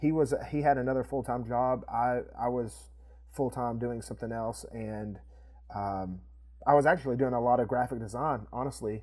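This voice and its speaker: A man with an East Tennessee accent speaks at a moderate pace, his medium-pitched voice keeping a fairly even intonation. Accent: Southern US (East Tennessee). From East Tennessee, US. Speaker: video production company co-owner. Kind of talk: casual interview chat.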